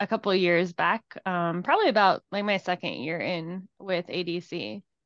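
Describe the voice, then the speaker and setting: In an American accent, a woman speaks in a normal speaking voice at medium pitch and a moderate pace, with a dry, close sound with no echo against a quiet background. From Cincinnati, Ohio. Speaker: HR generalist. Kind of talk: casual chat.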